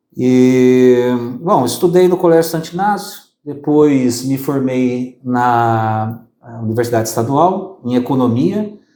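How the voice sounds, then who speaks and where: In a room with audible echo, a man talks very slowly at a medium pitch with lively intonation. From southern Brazil (Maringá, Paraná). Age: 40s. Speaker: accountant and business consultant. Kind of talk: interview. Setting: office studio.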